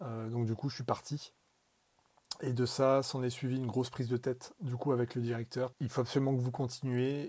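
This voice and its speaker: At a moderate pace, a man speaks in a dark, mellow tone at a medium pitch with monotone, flat intonation. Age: 20s. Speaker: marketing professional. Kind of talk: recorded voice message testimony.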